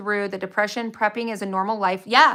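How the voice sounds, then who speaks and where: With an American accent, a woman speaks at a fairly quick pace in a medium pitch and a bright, sharp tone. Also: very clean recording, silent background. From Utah. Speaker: prepper livestreamer. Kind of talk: live stream chat with viewers. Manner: fast; animated.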